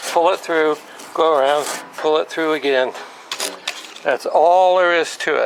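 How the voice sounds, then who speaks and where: Fairly high-pitched, this man talks at a fairly slow pace with fairly even intonation, very even loudness, long and frequent pauses, and noticeable background noise. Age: 70s. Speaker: motorcycle how-to video maker. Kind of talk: tutorial. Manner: hesitant, many filler words.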